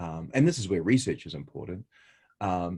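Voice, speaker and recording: With a New Zealand accent, a man speaks at a moderate pace in a very deep, low pitch on a very clean recording with a silent background. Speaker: researcher. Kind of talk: interview. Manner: hesitant, many fillers.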